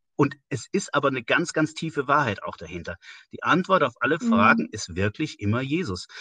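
Over a quiet background, recorded dry and close with no echo, a man speaks in a bright, sharp, fairly high voice with vocal fry and very wide pitch swings. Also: fairly quick pace, big swings in loudness. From Westerwald, Rhineland-Palatinate, western Germany. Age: 50s. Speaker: church organisation leader. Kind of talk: casual interview.

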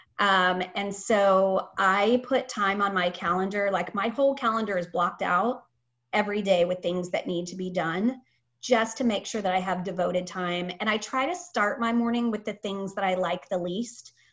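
A woman speaks in a plain, everyday voice with an American accent, at a medium pitch. Her pace is moderate and her pitch variation ordinary. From Japan (Tokyo), American family. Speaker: talent acquisition manager. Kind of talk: interview, casual conversation.

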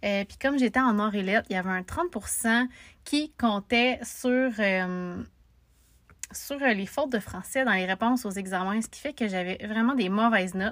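The speaker moves at a fairly slow pace with ordinary pitch variation. Loudness swings widely from moment to moment. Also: woman, fairly high pitch for a woman. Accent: Quebec. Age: 20s. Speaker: podcaster. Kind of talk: casual monologue.

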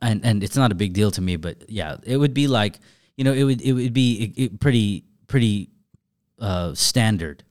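On a very clean recording with a silent background, a man with an American accent and an unremarkable speaking voice talks at a moderate pace, his fairly low pitch showing ordinary variation. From Southern California. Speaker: car culture figure. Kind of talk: casual chat.

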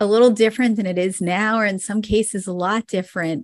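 In a very clean recording with a silent background, a woman speaks at a fairly high pitch with fairly even intonation, the sound dry and close with no echo. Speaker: optometrist and practice consultant. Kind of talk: interview conversation. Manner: soft-spoken.

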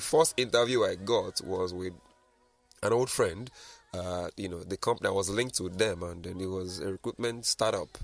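With music in the background, a man speaks at a moderate pace in a fairly low voice with ordinary pitch variation. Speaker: marketing and recruitment consultant. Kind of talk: radio interview.

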